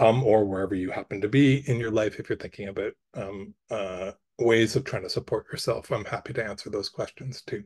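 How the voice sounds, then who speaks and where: A man speaks at a fairly quick pace in a somewhat breathy voice with ordinary pitch variation, recorded dry and close with no echo against a quiet background. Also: medium pitch for a man. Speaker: arts council officer and artist giving a workshop. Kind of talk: workshop presentation. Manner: fast, rambling; hesitant, many fillers.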